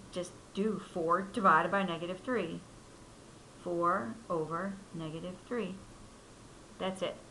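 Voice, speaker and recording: Amid audible room echo, a woman talks at a fairly slow pace in a fairly low pitch, with ordinary pitch variation and long, frequent pauses. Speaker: math teacher. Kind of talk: tutorial.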